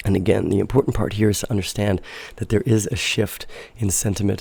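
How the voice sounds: Speaking at a fairly quick pace, a man has a raspy, dark, mellow voice with vocal fry, a fairly low pitch and fairly even intonation.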